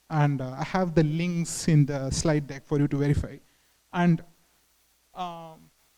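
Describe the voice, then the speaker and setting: In a Tamil accent, a man speaks at a fairly high pitch with a dark, mellow tone and monotone, flat intonation. His fairly slow delivery has long, frequent pauses and big swings in loudness. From southern India. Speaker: engineering manager, conference speaker. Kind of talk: conference talk. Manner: halting, many fillers.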